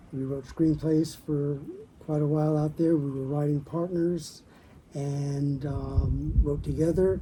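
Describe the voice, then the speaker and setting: The speech, in an American accent, comes at a fairly slow pace amid noticeable background noise. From US South, Mississippi. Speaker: writer and former lawyer. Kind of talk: casual interview. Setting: at home.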